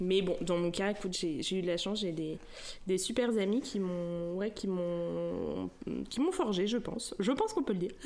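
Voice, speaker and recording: A woman at medium pitch and a moderate pace, with ordinary pitch variation. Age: 30s. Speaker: stay-at-home mother and naturopath. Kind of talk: testimony. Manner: casual and hesitant, many fillers.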